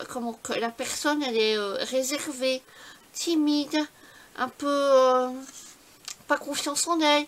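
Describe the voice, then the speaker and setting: A woman talks at a very slow pace. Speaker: scrapbooking YouTuber. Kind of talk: casual vlog talk. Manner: halting.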